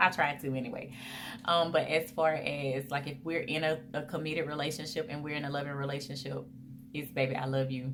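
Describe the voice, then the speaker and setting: A woman with a very deep, low voice speaks fairly quickly with fairly even intonation. Noticeable background noise and audible room echo fill the recording. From US South, Mobile, Alabama. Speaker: vlogger. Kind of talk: casual Q&A vlog. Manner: chatty, conversational.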